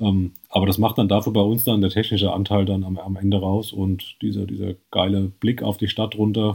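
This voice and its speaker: A man's fairly low voice with a slight Hessian accent, somewhat breathy and flat, monotone in intonation. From Hesse, Germany. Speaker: trail running blogger. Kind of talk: podcast interview.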